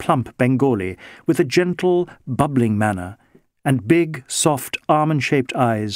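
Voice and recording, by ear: Someone reads aloud in a natural voice with lively intonation. The background is quiet.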